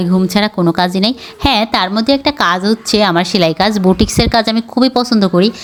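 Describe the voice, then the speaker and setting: With an unremarkable speaking voice, a woman talks in a fairly high pitch with ordinary pitch variation. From Bagerhat, Bangladesh. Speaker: vlogger. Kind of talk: casual vlog talk to camera.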